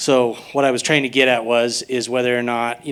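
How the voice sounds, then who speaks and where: A man is speaking at a medium pitch. He keeps up a fairly quick pace. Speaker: audience member, local musician. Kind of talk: audience question at panel. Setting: live panel event with audience, handheld mic. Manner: loud.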